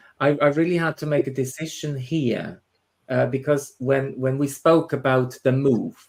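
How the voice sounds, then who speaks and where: A man with a Swiss German accent talks at a moderate pace, his fairly high pitch held in a fairly even intonation. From Switzerland, Swiss German part. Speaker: spiritual medium and tutor. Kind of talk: interview chat. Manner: halting, many repetitions.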